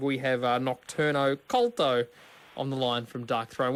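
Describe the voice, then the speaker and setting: Rather high-pitched male speech with an Australian accent. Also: very clean recording, silent background. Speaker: radio host. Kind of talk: radio interview.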